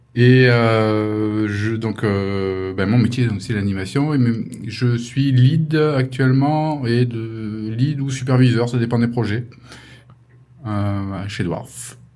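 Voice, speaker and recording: In a room with audible echo, a man speaks at a very slow pace with a medium pitch and ordinary pitch variation. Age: 50s. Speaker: animation supervisor. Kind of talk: interview. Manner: hesitant.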